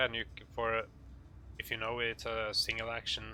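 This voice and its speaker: A man with a Norwegian accent talks at a fairly quick pace in a bright, sharp tone. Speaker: gaming tutorial maker. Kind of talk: tutorial. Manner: halting, many fillers.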